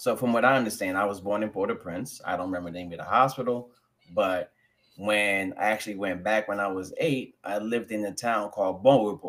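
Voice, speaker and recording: A man with a New York accent, fairly low in pitch, at a fairly quick pace with ordinary pitch variation. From New York (Jamaica, Queens; later Rockland County). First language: French. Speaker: guest. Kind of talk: casual interview chat. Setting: live stream.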